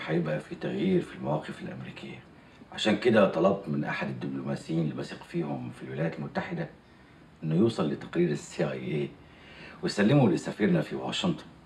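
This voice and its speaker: A fairly quick pace with audible room echo. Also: man. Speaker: actor playing a head of state. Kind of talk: drama dialogue. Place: office.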